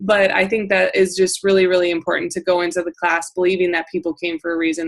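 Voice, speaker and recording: A woman speaks at a fairly quick pace with a northern US accent. Her pitch is fairly low, and noticeable background noise runs underneath. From South Dakota, US Midwest. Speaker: essential oils sales coach. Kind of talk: training call. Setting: group call. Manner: casual, filler-heavy.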